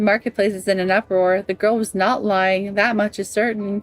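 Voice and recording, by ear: Fairly even intonation runs through this reading aloud in a natural voice.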